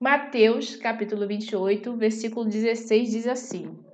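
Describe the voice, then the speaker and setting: Heard with audible room echo and noticeable background noise, a woman speaks at a fairly slow pace with a fairly high pitch. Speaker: bible teacher. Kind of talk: bible study.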